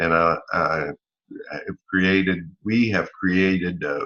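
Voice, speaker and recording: A man with an American accent speaks in a very deep, low pitch with fairly even intonation. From Northeast Florida near the Georgia line. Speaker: salesman and online marketer. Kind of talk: personal talk to camera.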